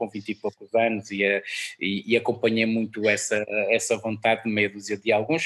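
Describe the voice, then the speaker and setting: A man speaks in a normal speaking voice at a medium pitch and a moderate pace. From northern Portugal, Guimarães area. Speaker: music programmer and musician. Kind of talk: interview.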